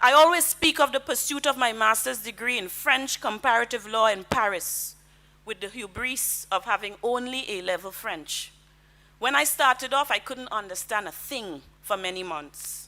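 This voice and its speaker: Bright, sharp tone with a Caribbean accent, lively intonation and a moderate pace. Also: woman, fairly high pitch for a woman. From Grenada. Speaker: lawyer and diplomat. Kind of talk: convention speech. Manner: formal.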